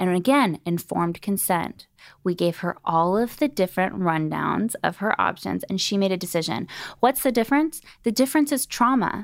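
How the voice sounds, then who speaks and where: On a very clean recording with a silent background, a woman with a medium pitch talks in a plain, everyday voice at a moderate pace, using lively intonation. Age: 20s. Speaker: former reality TV personality and birth doula. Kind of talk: casual chat.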